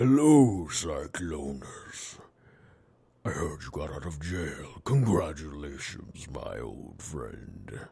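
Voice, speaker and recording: A raspy, put-on character voice speaks at a very slow pace. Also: man, very deep, low pitch for a man. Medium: audio drama. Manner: smooth, insinuating.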